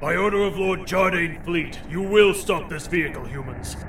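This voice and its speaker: A man's put-on, gruff character voice, high-pitched, at a moderate pace over clear background noise. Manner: shouting commanding.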